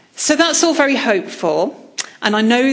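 Lively intonation marks a woman's speech. Audible room echo and noticeable background noise are present. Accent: English. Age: 40s. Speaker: historian. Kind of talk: lecture.

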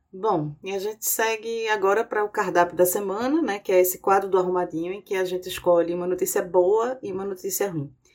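A woman's fairly quick speech with hardly any pauses over noticeable background noise. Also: medium pitch for a woman, fairly even intonation. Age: 40s. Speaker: podcast host. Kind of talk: political analysis podcast.

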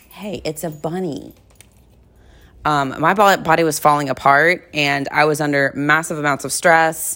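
A woman speaks with a very deep, low pitch and a bright, sharp tone. Her pace is moderate and her intonation fairly even. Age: 30s. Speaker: wellness coach and podcast host. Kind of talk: personal monologue. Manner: casual, conversational.

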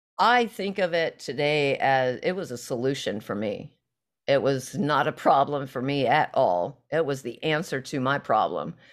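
Against a silent background, the very clean recording carries speech at a moderate pace. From southwest Missouri, US. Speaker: recovery podcast guest. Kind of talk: personal testimony in casual interview.

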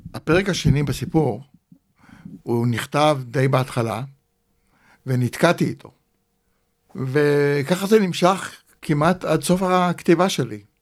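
A man with a fairly high pitch talks at a very slow pace. His speech has long, frequent pauses. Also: ordinary pitch variation. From Israel. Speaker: author. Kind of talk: interview.

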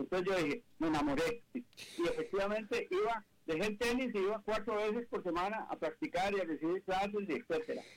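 A man's high voice with lively intonation at a fairly quick pace. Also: hardly any pauses, very even loudness. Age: 70s. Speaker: business executive and author. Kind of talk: interview. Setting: video call.

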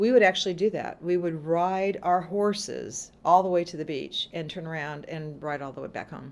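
A woman with an American accent in a plain, everyday voice, fairly low in pitch, at a moderate pace with hardly any pauses and big swings in loudness. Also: ordinary pitch variation. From Southern California. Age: 60s. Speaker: haunted attraction owner. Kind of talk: casual chat.

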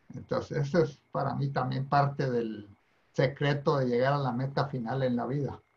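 A man speaks at a moderate pace in a somewhat breathy voice. His intonation is monotone and flat. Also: medium pitch for a man. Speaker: retired university president. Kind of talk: interview conversation.

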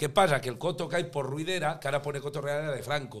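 A man with a La Mancha accent speaks at a fairly high pitch. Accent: broad local La Mancha speech. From Spain, La Mancha (Tomelloso). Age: 50s. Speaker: comedian and singer. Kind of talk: casual chat.

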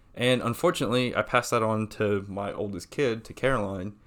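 Fairly quick speech from a man, fairly low-pitched with fairly even intonation, on a very clean recording with a silent background. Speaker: podcast co-host. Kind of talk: casual banter chat. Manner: halting, many ums, sometimes fast or mumbling.

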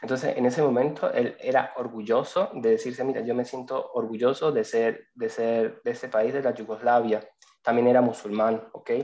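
A man's medium-pitched voice stays monotone and flat as he speaks at a moderate pace. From Venezuela. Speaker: lawyer and migration student. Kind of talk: casual interview. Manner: halting, repeats words.

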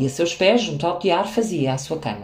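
The speaker has a Lisbon accent. Noticeable background noise and audible room echo are present. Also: woman. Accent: European Portuguese, Lisbon. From Portugal, Lisbon. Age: 40s. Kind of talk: reading aloud.

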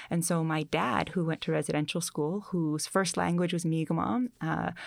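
On a very clean recording with a silent background, a woman speaks at a moderate pace with vocal fry. Her pitch is fairly low, with ordinary pitch variation. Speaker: author. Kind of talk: interview. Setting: studio.

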